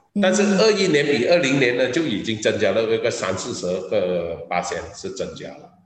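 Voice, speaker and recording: A man speaks at a moderate pace. There is audible room echo along with noticeable background noise. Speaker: business executive. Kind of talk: interview. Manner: halting.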